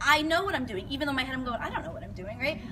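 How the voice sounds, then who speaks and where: Over noticeable background noise and audible room echo, a woman talks very fast in a high pitch. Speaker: fitness coach. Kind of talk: presentation to an audience.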